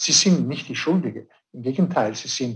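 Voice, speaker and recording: A man with a non-native accent speaks at a moderate pace in a somewhat breathy voice with ordinary pitch variation. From Switzerland. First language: not German (speaking German). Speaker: director of a conservation organisation. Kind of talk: radio interview.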